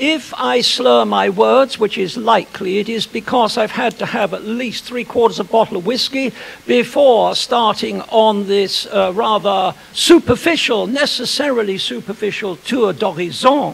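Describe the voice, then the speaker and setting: Against noticeable background noise, a high-pitched man talks at a moderate pace with hardly any pauses and ordinary pitch variation. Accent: British. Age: old. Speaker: historian. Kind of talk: lecture. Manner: formal.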